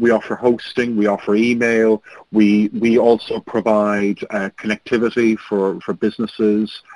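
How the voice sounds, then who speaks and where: A man speaks with an Irish accent, and the sound is dry and close with no echo. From Ireland. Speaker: registrar company owner, panelist. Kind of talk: webinar presentation. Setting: webinar. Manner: fast.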